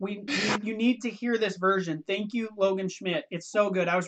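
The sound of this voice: Reading in an unforced voice.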